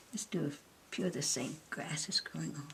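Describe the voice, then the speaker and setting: Noticeable background noise runs under this woman's voice. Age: 80s+. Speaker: melted crayon painter. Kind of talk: art demonstration.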